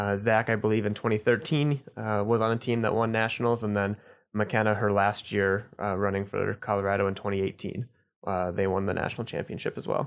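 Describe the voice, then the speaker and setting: A man with an American accent talks at a fairly quick pace in a normal speaking voice. His pitch is fairly low and his intonation fairly even. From Idaho (Boise). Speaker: journalist. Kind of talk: casual interview.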